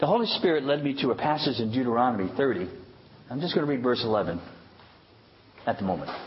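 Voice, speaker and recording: Amid audible room echo, a man speaks very fast at a medium pitch, with lively intonation and long, frequent pauses. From High Park. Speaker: pastor. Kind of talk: sermon.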